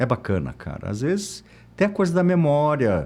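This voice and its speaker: Lively intonation carries speech that goes at a moderate speed. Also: man. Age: 60s. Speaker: architect. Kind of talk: interview. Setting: studio.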